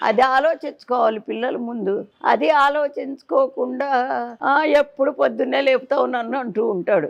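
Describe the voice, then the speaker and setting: A woman's high pitch with ordinary pitch variation. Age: 80s+. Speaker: temple priestess. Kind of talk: interview answer.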